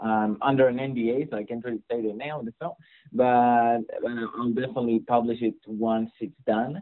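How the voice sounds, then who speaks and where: Fairly even intonation in an Israeli accent. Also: man, medium pitch for a man, moderate pace. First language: Hebrew. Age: 20s. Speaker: mixing engineer. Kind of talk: interview. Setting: California.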